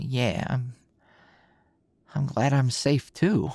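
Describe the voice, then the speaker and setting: A soft-spoken voice with a dry sound and no echo. The background is quiet. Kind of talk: intimate roleplay audio drama. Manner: sleepy, soft just-woken talk.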